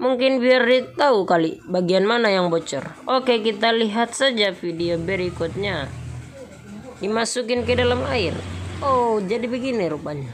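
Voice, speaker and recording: Noticeable background noise and audible room echo surround a woman speaking at a moderate pace. Her fairly high voice has a playful tone and lively intonation. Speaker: vlogger. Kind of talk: vlog narration. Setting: roadside bicycle repair shop. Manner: casual, playful.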